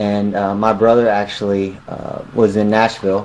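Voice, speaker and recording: Over noticeable background noise, a man with a Southern US accent speaks in a fairly low pitch with monotone, flat intonation. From US South, Mississippi near Jackson. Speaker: musician. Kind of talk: interview.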